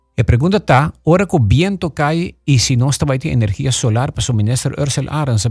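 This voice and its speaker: A man's very fast, somewhat breathy speech with lively intonation. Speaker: radio host. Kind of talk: radio interview.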